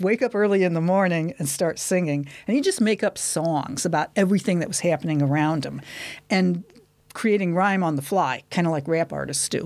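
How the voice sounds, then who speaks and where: Speaking at a fairly quick pace, a woman with an American accent uses a fairly low pitch and ordinary pitch variation. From US Midwest, Detroit, Michigan. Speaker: university linguistics lecturer. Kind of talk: casual interview.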